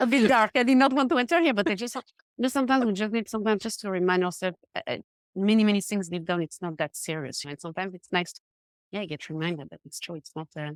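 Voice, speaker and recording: Speaking at a very fast pace with a non-native accent, the voice shows very wide pitch swings and big swings in loudness, in a very clean, dry, close recording with a silent background and no echo. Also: woman, medium pitch for a woman. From Switzerland, Geneva. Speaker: confidence coach. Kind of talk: podcast interview.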